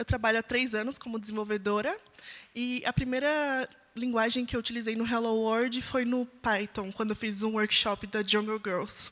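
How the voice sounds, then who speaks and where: At a moderate pace and with fairly even intonation, a woman speaks in a plain, everyday voice. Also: fairly high pitch for a woman. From Brazil, São José dos Campos (São Paulo state). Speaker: software engineer. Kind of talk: panel discussion.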